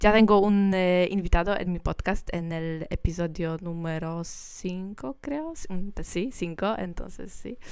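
A woman with a Polish accent speaks at a very slow pace and a medium pitch, with ordinary pitch variation. Her loudness swings widely. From Poland. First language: Polish (speaking Spanish). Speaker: singer. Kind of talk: interview. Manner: halting; smiling while speaking.

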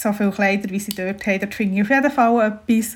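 Fairly high-pitched and somewhat breathy, a woman talks at a very fast pace with fairly even intonation. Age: 30s. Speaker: bride-to-be. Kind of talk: casual chat.

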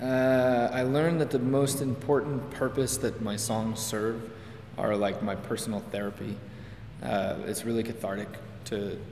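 A man with a medium pitch speaks at a fairly slow pace, keeping his intonation fairly even. Audible room echo and noticeable background noise surround him. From Quebec (Hudson, west of Montreal). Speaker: singer-songwriter. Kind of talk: interview.

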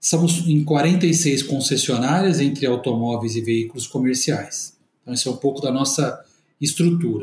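Medium-speed, somewhat breathy speech with ordinary pitch movement. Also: man, fairly high pitch for a man. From Brazil, interior of São Paulo state. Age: 40s. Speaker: company executive. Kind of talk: corporate interview. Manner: formal.

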